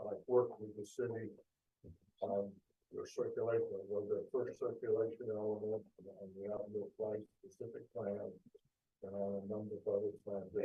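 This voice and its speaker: This man is soft-spoken. He leaves long, frequent pauses. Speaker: traffic engineer. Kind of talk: public meeting presentation. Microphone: too far from the microphone.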